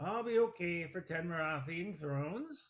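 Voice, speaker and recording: Using a put-on character voice, a man speaks at a moderate pace. His pitch sits high. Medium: read story. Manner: feisty, combative.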